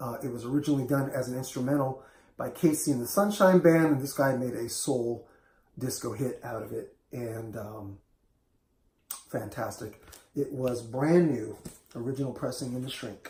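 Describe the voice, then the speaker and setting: A man speaks at a moderate pace and medium pitch, his tone dark and mellow and somewhat breathy. His pitch varies in an ordinary way while his loudness swings widely. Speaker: record collector video host. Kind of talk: casual show-and-tell vlog.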